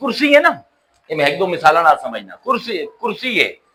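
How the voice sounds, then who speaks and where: In an animated tone, a man speaks at an extremely high pitch. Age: 50s. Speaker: Islamic scholar. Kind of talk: religious lecture.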